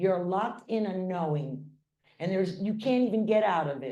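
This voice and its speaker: A woman's medium-pitched voice with a dark, mellow tone at a moderate pace, with audible room echo. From Hawaii. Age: 60s. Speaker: spiritual speaker. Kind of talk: inspirational talk. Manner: animated.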